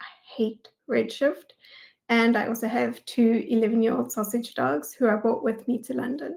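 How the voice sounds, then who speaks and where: A woman's fairly high voice with vocal fry and a South African accent. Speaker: data engineering manager. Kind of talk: conference talk.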